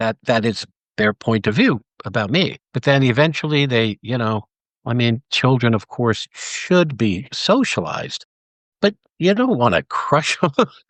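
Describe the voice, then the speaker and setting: A man with a medium-pitched voice speaks at a fairly slow pace with lively intonation. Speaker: acting teacher and director. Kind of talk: casual chat. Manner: halting.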